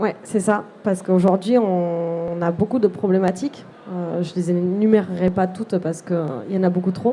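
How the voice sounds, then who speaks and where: A woman with a dark, mellow tone speaks at a medium pitch in a southwestern French accent, her intonation fairly even. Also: moderate pace. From southwest France (Lot, near Figeac). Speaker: artisan entrepreneur, seamstress. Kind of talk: live interview at a trade fair. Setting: trade fair stand, live broadcast.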